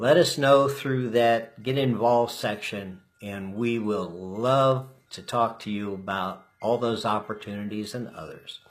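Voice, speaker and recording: A man with a normal speaking voice and medium pitch speaks at a fairly slow pace, with ordinary pitch variation and big swings in loudness. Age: 60s. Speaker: political candidate. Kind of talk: campaign livestream address. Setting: live stream from home.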